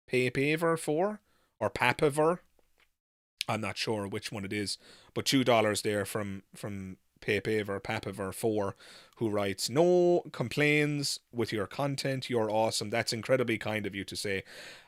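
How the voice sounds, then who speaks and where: A man with an Irish accent, medium pitch, lively intonation and a moderate pace, on a very clean recording with a silent background. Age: 30s. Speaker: YouTuber, atheist commentator. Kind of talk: live stream Q&A. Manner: halting, many fillers.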